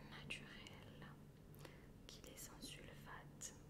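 A woman speaks over loud background noise. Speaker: ASMR creator. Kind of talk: casual talk to camera. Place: home room.

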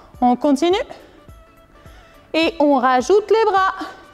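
Faint music sits in the background. A woman with an extremely high pitch speaks at a very slow pace. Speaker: fitness instructor. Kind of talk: exercise class instructions. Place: gym.

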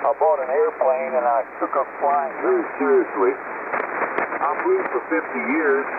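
Very slow speech in an American accent, with hardly any pauses and very even loudness, comes over noticeable background noise. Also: man. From US Mid-Atlantic (Maryland). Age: 80s+. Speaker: amateur radio operator. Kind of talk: casual chat. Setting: amateur radio transmission. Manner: chatty storyteller.

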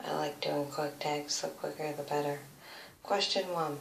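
A woman with an American accent is heard with audible room echo and light background noise. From USA. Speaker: beauty vlogger. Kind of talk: casual chat. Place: home room. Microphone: phone near.

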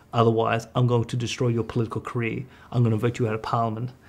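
A man speaks at a medium pitch. His delivery is a flat monotone. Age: 30s. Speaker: economist; guest. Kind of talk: casual chat. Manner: halting. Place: studio.

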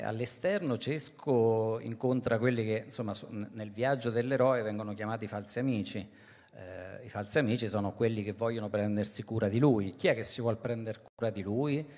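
A man talks with fairly even intonation at a moderate pace, the background quiet. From Italy, rural province. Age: 40s. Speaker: journalist and novelist. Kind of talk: book presentation talk. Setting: live event with audience. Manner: halting, many fillers. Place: stage. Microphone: handheld.

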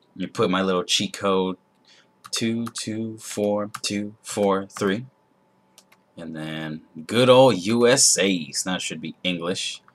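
Music sits in the background as a man speaks. His pace is very slow, and his pitch varies in an ordinary way. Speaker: gamer. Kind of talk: casual gameplay commentary. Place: home room.

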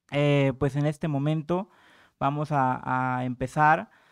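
With a quiet background behind him, a man speaks with fairly even intonation. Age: young. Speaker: panel moderator. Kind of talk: moderated panel discussion. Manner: hesitant with filler and repetitions. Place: hall. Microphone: podium.

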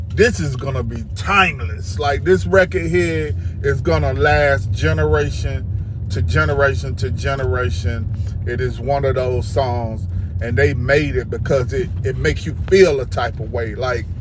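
A man with a very deep, low pitch speaks at a fairly slow pace with very wide pitch swings, in a dry sound with no echo and over noticeable background noise. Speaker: music reaction vlogger. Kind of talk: casual vlog chat. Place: car. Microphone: phone near.

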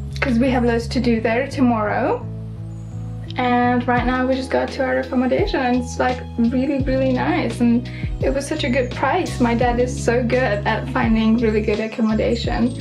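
Over clear music in the background, a woman speaks at a moderate pace with very even loudness. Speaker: travel vlogger. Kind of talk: casual vlog chat. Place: home room. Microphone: phone near.

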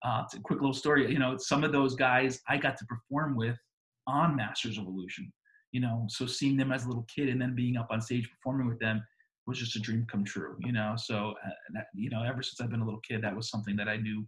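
A man talks at a very fast pace in a somewhat breathy voice with ordinary pitch variation. The background is quiet. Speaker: remote interviewee. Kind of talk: interview answer. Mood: warm, nostalgic, upbeat. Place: home room. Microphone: video call.

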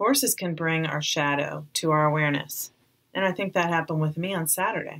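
A woman with a plain, everyday voice, fairly low in pitch, with ordinary pitch variation. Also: very clean recording, silent background. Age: 40s. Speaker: podcast host and psychotherapist. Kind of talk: personal reflective narration.

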